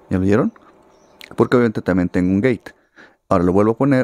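A man speaks with a fairly low voice and ordinary pitch variation. The sound is dry, with no echo. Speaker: musician and audio/guitar teacher; guitar teacher. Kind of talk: tutorial. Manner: casual, conversational.

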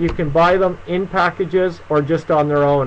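Light background noise sits under a man speaking at a moderate speed, his pitch moving in an ordinary way. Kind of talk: live stream Q&A tutorial. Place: home room. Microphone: webcam.

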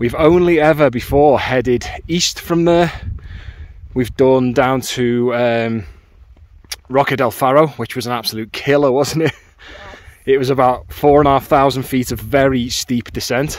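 A man speaks with fairly even intonation and long, frequent pauses in a dry sound with no echo. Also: moderate pace. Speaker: hiking vlogger. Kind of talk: casual vlog chat. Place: open country. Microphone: phone near.

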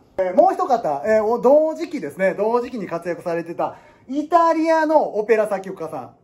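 A man with a Kansai accent speaks in an animated tone at a high pitch, his voice swinging very widely in pitch and heavily in loudness. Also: moderate pace. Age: 30s. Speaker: piano teacher. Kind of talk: casual lecture. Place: classroom. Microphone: phone near.

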